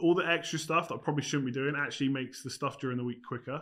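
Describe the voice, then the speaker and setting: The voice belongs to a man. It carries a bright, sharp tone. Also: very clean recording, silent background. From UK. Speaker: fantasy football YouTuber. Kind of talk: casual chat. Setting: studio.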